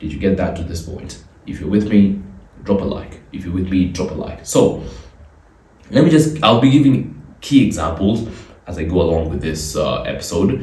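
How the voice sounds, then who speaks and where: In a room with audible echo and noticeable background noise, a man with a very deep, low pitch speaks with big swings in loudness. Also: lively intonation, moderate pace. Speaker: podcast host. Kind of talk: solo podcast commentary.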